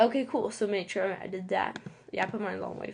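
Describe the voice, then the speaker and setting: Against a quiet background, a woman speaks at a medium pitch with vocal fry and ordinary pitch variation. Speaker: online course student. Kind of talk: tutorial. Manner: halting, many fillers.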